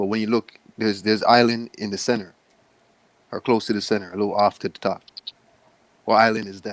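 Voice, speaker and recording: A man with a Jamaican accent speaks at a fairly low pitch and a fairly quick pace, in a monotone, flat way. His loudness swings widely, long pauses come often, and the sound is dry and close with no echo. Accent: Jamaican-tinged. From Canada, Toronto (born in Jamaica). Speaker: livestream host. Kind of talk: casual chat.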